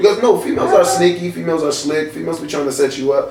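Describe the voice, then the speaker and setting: A man speaks over noticeable background noise. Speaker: radio host and club scene figure. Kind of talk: casual talk show guest answer.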